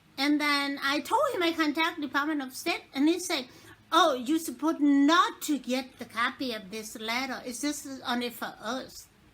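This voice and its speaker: A woman's high-pitched voice, bright and sharp in tone, at a moderate pace with ordinary pitch variation. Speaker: crime victim making an appeal. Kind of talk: personal appeal / testimony. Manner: halting.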